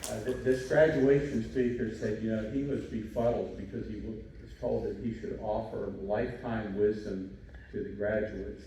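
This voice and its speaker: Against noticeable background noise and audible room echo, a man speaks at a moderate pace in a fairly low pitch with ordinary pitch variation. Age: 60s. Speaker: commencement speaker, doctor. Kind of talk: graduation speech. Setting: ceremony with audience.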